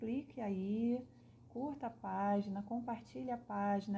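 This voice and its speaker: A woman with a Rio de Janeiro accent. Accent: Carioca Brazilian Portuguese. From Brazil, Rio de Janeiro. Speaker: spiritist speaker. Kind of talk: livestream talk. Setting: live online broadcast.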